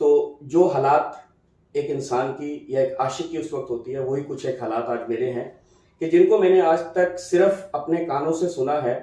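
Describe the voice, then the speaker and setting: A man speaks with a fairly high pitch and ordinary pitch variation. He has a plain, everyday voice. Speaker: talk show host. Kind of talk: poetic show introduction.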